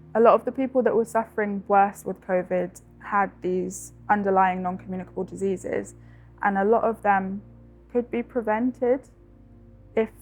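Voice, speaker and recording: A woman talks at a moderate pace in a medium-pitched voice. Her intonation stays fairly even. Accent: London. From South London. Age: 20s. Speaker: university student. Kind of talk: personal testimony interview.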